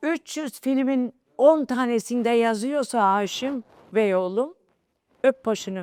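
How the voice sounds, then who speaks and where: Pitched high, a woman talks at a very slow pace with ordinary pitch variation. The recording is very clean and silent in the background, with a dry, close sound and no echo. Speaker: veteran film playback singer. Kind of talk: interview testimony. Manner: halting.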